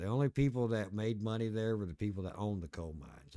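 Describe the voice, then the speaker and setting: A man with an Appalachian accent speaks with a fairly low pitch. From Appalachia, US. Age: 50s. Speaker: video game streamer. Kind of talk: casual chat. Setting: live stream.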